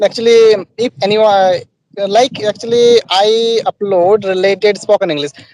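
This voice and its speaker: A man speaks in a high voice with fairly even intonation, recorded dry and close with no echo. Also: moderate pace. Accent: Bengali. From West Bengal, Purulia district, rural. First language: Bengali. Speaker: student and YouTuber. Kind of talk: casual chat.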